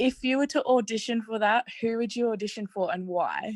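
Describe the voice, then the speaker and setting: A woman with an Australian accent speaks at a moderate pace with ordinary pitch variation. The sound is dry and close, with no echo, over a quiet background. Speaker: audience member. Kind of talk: casual chat. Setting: video call.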